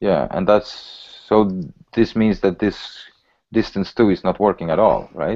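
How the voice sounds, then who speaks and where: Against a quiet background, a man with a Polish accent talks fairly slowly at a fairly low pitch, his dark, mellow tone fairly even in intonation and broken by long, frequent pauses. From Poland, raised in Sweden from age 11. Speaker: software developer. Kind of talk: pair programming session. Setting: video call. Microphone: video call.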